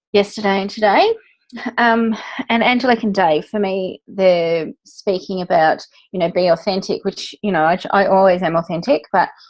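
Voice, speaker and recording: With an ordinary speaking voice, a woman talks at a moderate pace and medium pitch, using ordinary pitch variation. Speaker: fitness industry worker. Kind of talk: casual meeting recap.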